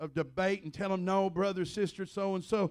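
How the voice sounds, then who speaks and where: Speaking in a Southern US accent at a fairly quick pace, the voice has an animated tone on a very clean recording with a silent background. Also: man. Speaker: visiting preacher. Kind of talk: sermon, preacher in full flow, fervent charismatic delivery with call-and-response. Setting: church. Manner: animated, impassioned, emphatic, punctuated with Amens and exclamations; blunt, conversational, storytelling with vivid analogies.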